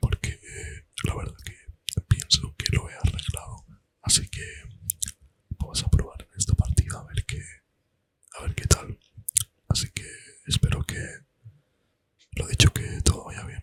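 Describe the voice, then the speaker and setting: The speech is fairly slow and relaxed in tone, with long, frequent pauses and a dry, close sound with no echo. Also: man. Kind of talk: casual talk to camera while gaming. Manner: soft-spoken, relaxed.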